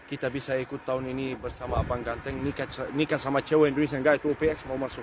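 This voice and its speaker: A man speaks at a very fast pace in a medium pitch. His intonation is monotone and flat, with noticeable background noise. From Lebanon. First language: Arabic (speaking Indonesian). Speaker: foreigner learning Indonesian. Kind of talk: casual chat.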